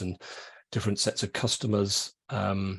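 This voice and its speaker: A man talks in a fairly low register, his voice somewhat breathy. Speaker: sustainability lead. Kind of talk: webinar presentation. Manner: monotone.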